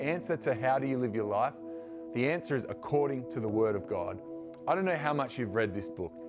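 Clear music plays in the background as the speech moves at a fairly quick pace. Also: man. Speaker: youth pastor. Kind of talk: sermon. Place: studio.

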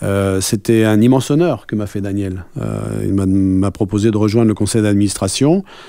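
Man with a dark, mellow tone and fairly low pitch, moderate pace, hardly any pauses and fairly even intonation, dry with no echo and a quiet background. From France. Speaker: rugby club president; interviewee. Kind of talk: radio interview. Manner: hesitant, many fillers. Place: studio. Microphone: studio mic.

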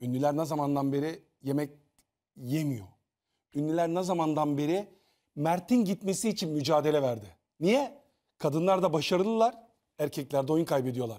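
A dark, mellow tone at a moderate pace, with lively intonation, long and frequent pauses, and a quiet background. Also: man, fairly high pitch for a man. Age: 50s. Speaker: TV panelist, former reality show contestant; TV panel commentator. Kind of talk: casual panel discussion. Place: studio.

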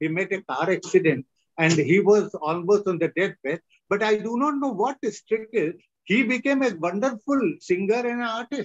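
Here a man with an Indian accent speaks in a high pitch. His intonation is lively, and his pace is moderate. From northern India. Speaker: retired professor and lecturer. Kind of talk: lecture. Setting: video call. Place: home room. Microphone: video call.

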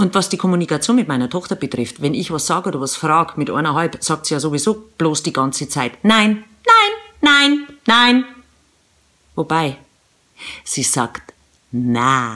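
A woman's very deep, low voice with a bright, sharp tone, very wide pitch swings, long, frequent pauses and a moderate pace against a quiet background. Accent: Bavarian. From Eastern Bavaria. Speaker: radio presenter and mom vlogger. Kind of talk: humorous vlog monologue to camera. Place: home room. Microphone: phone near.

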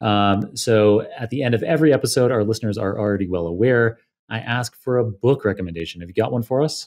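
Speaking at a fast pace, a man with a fairly low pitch and a slightly mellow tone shows ordinary pitch variation in a very clean recording with a silent background.

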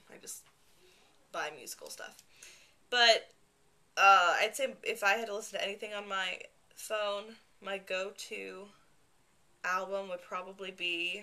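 A woman with a bright, sharp tone keeps her intonation fairly even and takes long, frequent pauses. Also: fairly slow pace. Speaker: vlogger. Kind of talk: casual talk to camera. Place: home room. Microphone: webcam.

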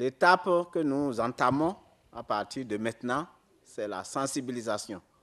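Against a quiet background, the speaker moves at a fairly slow pace with lively intonation. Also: man, medium pitch for a man. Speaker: data protection commission member. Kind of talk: answering questions at a conference. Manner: halting.

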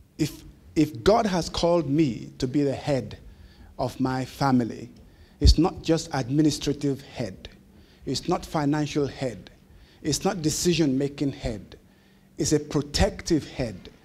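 A man speaks in a dark, mellow tone with vocal fry. He leaves long, frequent pauses. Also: ordinary pitch variation, fairly slow pace. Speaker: keynote speaker. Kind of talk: sermon. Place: meeting room. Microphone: handheld.

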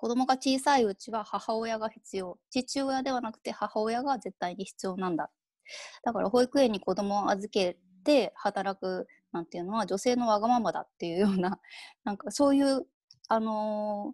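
A woman speaks at a moderate pace with fairly high pitch and ordinary pitch variation. The background is quiet, and the sound is dry with no echo. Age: 30s. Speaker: freelance writer; keynote speaker. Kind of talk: keynote lecture. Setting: video call. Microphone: earbuds.

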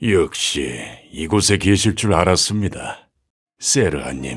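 Putting on a character voice, a man speaks fairly slowly in a very deep, low pitch with lively intonation as faint music plays behind him. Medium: dub. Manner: polite, respectful.

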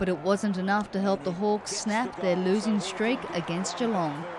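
Over noticeable background noise, a woman with an Australian accent speaks at a moderate pace and medium pitch with fairly even intonation. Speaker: sports reporter narrating match highlights. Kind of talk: scripted highlights narration over match footage. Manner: brisk, punchy voice-over delivery.

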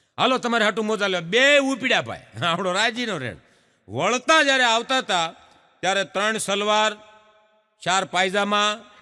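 A man with a high pitch uses a raised, projected voice with a bright, sharp tone and ordinary pitch variation. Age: 50s. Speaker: comedian. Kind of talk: stand-up.

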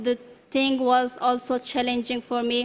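This speaker has a non-native accent. The pace is fairly slow. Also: woman. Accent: foreign accent in English. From Afghanistan. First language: not English (English is her third language). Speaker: refugee speaker. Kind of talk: testimony. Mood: calm, earnest, slight smiles. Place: hall. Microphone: podium.

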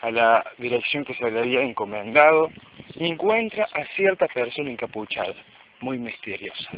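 Natural-voiced reading aloud with lively intonation.

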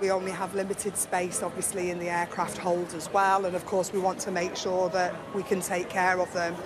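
A woman talks at a fairly quick pace in monotone, flat intonation over noticeable background noise. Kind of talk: interview answer and customer talk. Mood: cheerful, emotional. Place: hall.

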